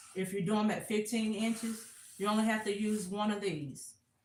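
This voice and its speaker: Intonation fairly even, a woman talks in a space with audible room echo. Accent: American. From US South, South Carolina. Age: 40s. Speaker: crafter. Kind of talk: live craft tutorial. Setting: livestream on camera.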